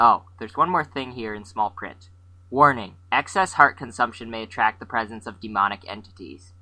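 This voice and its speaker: Putting on a whiny character voice, a man speaks at a moderate pace and medium pitch with big swings in loudness. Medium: audio drama. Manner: whiny, articulate, pessimistic.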